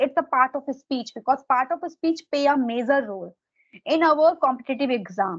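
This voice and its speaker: Against a quiet background, a woman with an Indian accent speaks high and at a moderate pace, her intonation lively. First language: Hindi. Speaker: exam preparation mentor. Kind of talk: casual advice conversation.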